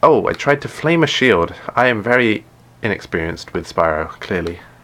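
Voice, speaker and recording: With noticeable background noise behind him, a man talks at a moderate pace with very wide pitch swings. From England. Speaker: gaming streamer. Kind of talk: live stream gameplay chat. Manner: hesitant, many fillers and restarts.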